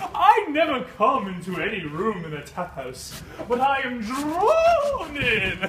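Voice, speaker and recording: A put-on character voice swings very widely in pitch and greatly in loudness at a fairly slow pace, with a slight echo and clear background noise. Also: man, extremely high pitch for a man. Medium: stage play. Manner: giggly, simple.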